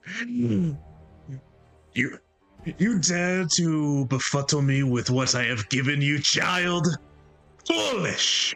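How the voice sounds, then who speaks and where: Over faint music in the background, a man does a fairly high put-on character voice at a very slow pace. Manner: scornful and menacing.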